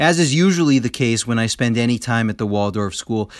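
With a plain, everyday voice, a man at a medium pitch talks at a fairly quick pace with lively intonation over a very clean recording and a silent background. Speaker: podcast host. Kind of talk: guided meditation.

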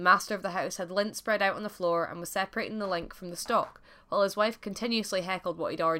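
The passage is read aloud in a natural voice, the intonation staying fairly even.

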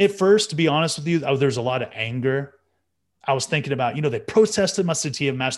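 Against a quiet background, a man with an American accent has an unremarkable speaking voice, fairly high in pitch with ordinary pitch variation. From Texas, Amarillo. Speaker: Olympic wrestler. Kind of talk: interview conversation.

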